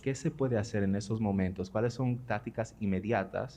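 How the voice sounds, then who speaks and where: A man speaks at a fairly quick pace in a medium pitch, with ordinary pitch variation. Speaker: audience member asking a question. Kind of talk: audience question at a conference. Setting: auditorium. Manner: code-switching Spanish and English.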